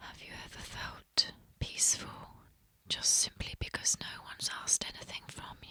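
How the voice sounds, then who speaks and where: A woman whispers in a calm tone at a moderate pace, with big swings in loudness. Noticeable background noise is present. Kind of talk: ASMR whisper video of reflective 'have you ever' prompts. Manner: soft-spoken, calm, whispered.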